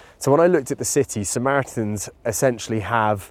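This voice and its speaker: A man speaks with a British accent in a very clean recording with a silent background. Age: 30s. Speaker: endurance athlete. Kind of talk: casual conversation. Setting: outdoors, walking in a park.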